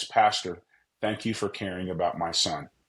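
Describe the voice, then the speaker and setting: Putting on a character voice, a man speaks at a moderate pace in a very deep, low register with fairly even intonation. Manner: sweet, grateful.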